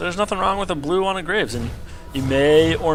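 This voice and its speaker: A man is speaking. Music plays in the background. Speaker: game caster. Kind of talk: gameplay commentary.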